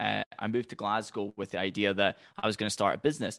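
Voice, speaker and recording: With a Highland Scottish accent, a man talks at a very fast pace in a bright, sharp tone over a quiet background. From Scottish Highlands. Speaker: business coach. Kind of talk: podcast interview.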